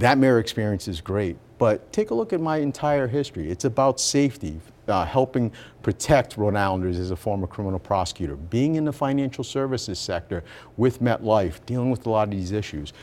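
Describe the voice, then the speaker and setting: A man speaks in a plain, everyday voice at a medium pitch. His delivery is fairly quick with lively intonation. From Rhode Island, US. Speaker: politician, former mayor. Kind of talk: radio interview. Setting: studio.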